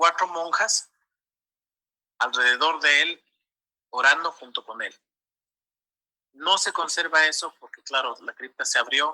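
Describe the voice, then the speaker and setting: Captured in a dry, close sound with no echo, a man speaks at a very slow pace. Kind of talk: interview answer.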